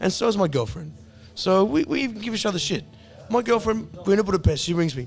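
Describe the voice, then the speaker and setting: A man talks at a fairly quick pace in an animated tone, his pitch swinging very widely. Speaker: podcast host. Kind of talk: casual chat. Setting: bar.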